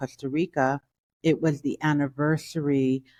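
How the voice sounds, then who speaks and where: A woman with a New York accent speaks at a fairly slow pace in a very deep, low voice, her intonation fairly even, the sound dry and close with no echo over a quiet background. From Brooklyn, New York. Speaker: author. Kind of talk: interview.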